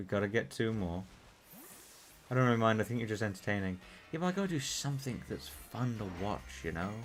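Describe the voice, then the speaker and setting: Speaking at a fairly quick pace with long, frequent pauses, a man uses a fairly low pitch that swings very widely. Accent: British. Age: 20s. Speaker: gaming streamer. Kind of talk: live stream gaming chat. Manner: casual, rambling with fillers.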